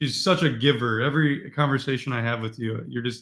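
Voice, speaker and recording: Speaking at a fairly quick pace with ordinary pitch variation, a man with a fairly high pitch has an unremarkable speaking voice. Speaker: livestream host. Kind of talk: interview.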